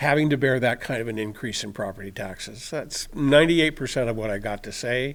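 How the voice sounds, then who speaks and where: A man speaks fairly quickly in an unremarkable speaking voice, medium in pitch with ordinary pitch variation. The recording is very clean, with a silent background. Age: 60s. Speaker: resident speaking at public comment. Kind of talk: public comment at city council meeting. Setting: council chamber podium.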